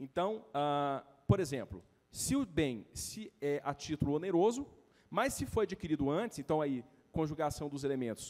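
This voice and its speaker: This man's intonation is lively. His pitch sits fairly high. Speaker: lawyer. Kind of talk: lecture. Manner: fast; hurried, halting.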